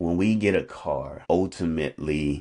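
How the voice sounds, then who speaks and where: Very slow speech comes from a man. The rise and fall of his pitch is ordinary. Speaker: coach sharing faith reflections. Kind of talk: unscripted devotional talk. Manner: halting, with ums and repetitions; casual, conversational.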